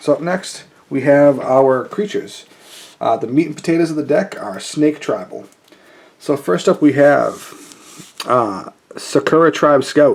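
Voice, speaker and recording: Lively intonation comes at a fairly slow pace with long, frequent pauses, over noticeable background noise. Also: man, fairly high pitch for a man. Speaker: card game youtuber. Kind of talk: deck tech tutorial. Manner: casual, many fillers.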